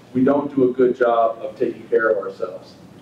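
Speaking at a moderate pace, a man is heard amid light background noise and noticeable room echo. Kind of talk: lecture. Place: meeting room.

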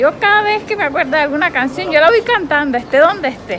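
Fast, lively speech from a woman, high-pitched and fairly bright, with faint background noise and faint crowd noise behind her

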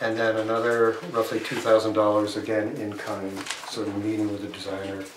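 Against noticeable background noise, a man with a fairly low voice speaks at a moderate pace in a monotone, flat intonation. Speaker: select board chair; board member reporting. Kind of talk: public meeting. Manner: halting. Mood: calm, thoughtful, hesitant. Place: meeting room. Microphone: camera far.

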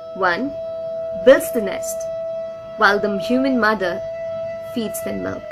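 Very wide pitch swings mark this voice, with noticeable background noise behind it. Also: woman. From India, West Bengal. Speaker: writer, poet and narrator. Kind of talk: poetry reading. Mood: calm, reflective. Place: home room. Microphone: phone near.

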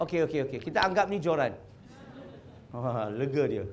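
With an animated tone and lively intonation, a man speaks at a moderate pace. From Malacca, Malaysia; Malaysia. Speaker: convert preacher; speaker. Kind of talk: religious talk to audience. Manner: animated, questioning audience. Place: hall. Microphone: lapel.

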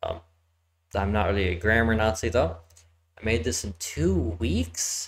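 A man speaks in a somewhat breathy voice. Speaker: game streamer. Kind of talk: casual gameplay commentary. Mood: relaxed, mildly amused. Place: home room. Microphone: headset.

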